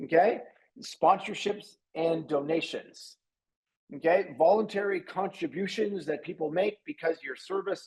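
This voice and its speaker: The speaker is a man with a fairly slow delivery. His voice is high for a male. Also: ordinary pitch variation. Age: 60s. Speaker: webinar presenter on business models. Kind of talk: online masterclass presentation. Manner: halting with frequent repetitions.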